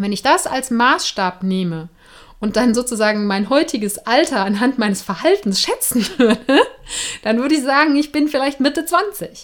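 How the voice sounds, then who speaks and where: At a moderate pace, a woman speaks with very wide pitch swings in a very clean recording with a silent background. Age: 30s. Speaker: podcast host. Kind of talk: casual monologue. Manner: casual, with laughs and fillers.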